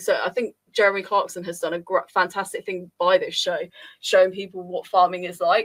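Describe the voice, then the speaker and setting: A woman speaks with a southern English accent. Her pace is fairly quick. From Luton area, Bedfordshire, England. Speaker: community radio host. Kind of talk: casual chat.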